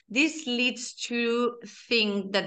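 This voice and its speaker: Speaking very slowly, a woman with a fairly high pitch shows ordinary pitch variation. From Spain, Barcelona. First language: Spanish or Catalan. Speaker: cosmetic chemist, head of research and development. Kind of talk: interview. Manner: hesitant, many fillers.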